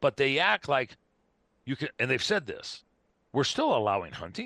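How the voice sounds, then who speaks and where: Medium-pitched male voice with vocal fry and a bright, sharp tone, very wide pitch swings, moderate pace, a quiet background, and a dry, close sound with no echo. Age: 60s. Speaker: wildlife control specialist and hunting advocate. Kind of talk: podcast interview. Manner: animated.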